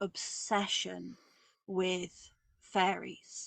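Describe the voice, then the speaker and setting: A woman speaks with a southeast English accent, and the sound is dry and close with no echo. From southeast England. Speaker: witch and author. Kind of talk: interview.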